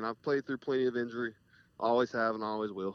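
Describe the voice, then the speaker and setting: A man with an American accent rattles along at a very fast pace. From US South, Jacksonville, North Florida. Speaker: college football player. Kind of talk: interview. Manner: calm.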